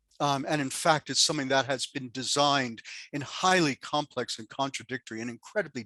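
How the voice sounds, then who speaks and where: In a dry, close recording with no echo, a man with an American accent talks at a fairly high pitch in a bright, sharp tone with ordinary pitch variation. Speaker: sociologist. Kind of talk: panel discussion.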